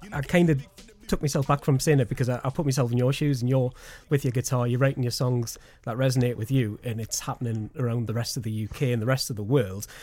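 A man's voice at medium pitch has a dark, mellow tone and is somewhat breathy. He speaks at a fairly quick pace with ordinary pitch variation. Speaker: radio presenter. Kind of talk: interview.

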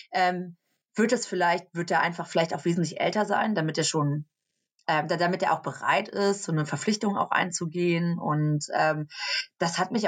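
Speaking at a moderate pace, a woman has an ordinary speaking voice, fairly low in pitch, with ordinary pitch variation. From Germany, near Cologne. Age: 30s. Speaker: social media influencer. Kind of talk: interview.

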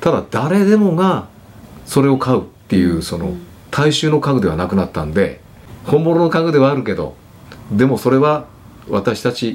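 A man at a medium pitch talks at a moderate pace with very wide pitch swings and long, frequent pauses. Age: 60s. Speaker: furniture company president. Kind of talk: casual chat.

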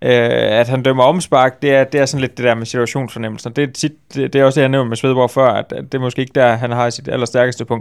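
At a very fast pace and with hardly any pauses, a man of medium pitch talks in monotone, flat intonation. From West Jutland, Denmark. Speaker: football journalist. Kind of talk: casual chat. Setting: studio.

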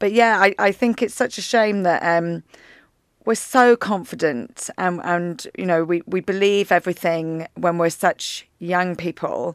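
A woman's medium-pitched voice at a fairly slow pace, ordinary pitch variation, dry and close with no echo, very clean recording with a silent background. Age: 40s. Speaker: podcast host. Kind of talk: casual interview. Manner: animated.

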